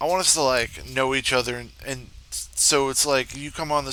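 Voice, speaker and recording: A man speaks in a monotone with flat intonation and a bright, sharp tone. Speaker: gaming youtuber. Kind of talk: casual vlog talk to viewers. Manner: rambling, casual.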